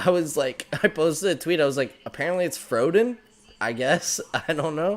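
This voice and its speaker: Speaking at a moderate pace with lively intonation, a man with a fairly high pitch has an ordinary speaking voice. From Canada, Newfoundland. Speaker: hockey podcast host. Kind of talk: casual chat. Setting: live stream.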